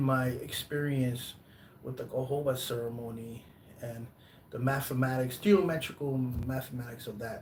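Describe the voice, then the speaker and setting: In a Spanish accent, a man at a medium pitch speaks at a fairly slow pace with an animated tone and ordinary pitch variation. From US Northeast, Brooklyn, New York. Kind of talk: live stream talk. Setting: live stream. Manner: animated, hesitant with fillers and restarts.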